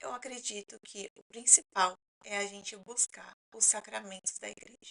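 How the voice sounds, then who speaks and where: With a bright, sharp tone, a woman speaks at a moderate pace, using ordinary pitch variation and big swings in loudness. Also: medium pitch for a woman. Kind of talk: talking-head explainer.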